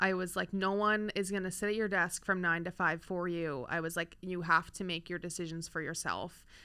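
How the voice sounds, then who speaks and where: On a very clean recording with a silent background, a woman with an American accent talks at a fairly quick pace with hardly any pauses, her fairly low-pitched voice bright and sharp in tone, with monotone, flat intonation. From eastern Pennsylvania, Lehigh Valley. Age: 20s. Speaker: sports media employee, floorball player. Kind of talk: casual interview. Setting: studio.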